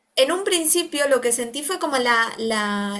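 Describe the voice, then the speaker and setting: Very slow yet raised and projected, a woman's high-pitched voice has a bright, sharp tone and lively intonation. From Argentina. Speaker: occupational therapist and researcher. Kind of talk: interview conversation. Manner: hesitant, many fillers.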